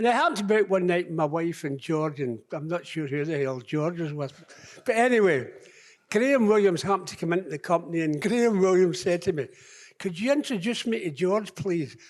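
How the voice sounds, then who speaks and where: A man talks at a fairly quick pace with lively intonation. His pitch is high. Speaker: former footballer. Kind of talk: tribute speech on stage. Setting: live event hall. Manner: blunt, wry.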